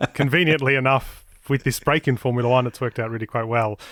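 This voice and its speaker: Speaking very fast, a man has a slight Australian accent. The sound is dry and close with no echo. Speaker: motorsport podcast presenter. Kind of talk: casual chat.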